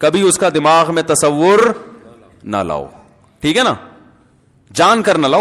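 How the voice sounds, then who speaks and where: A man talks with a fairly high pitch and vocal fry. His pitch swings very widely. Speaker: Islamic scholar giving a sermon. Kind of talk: religious sermon (bayan) with anecdotes. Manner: conversational, explanatory.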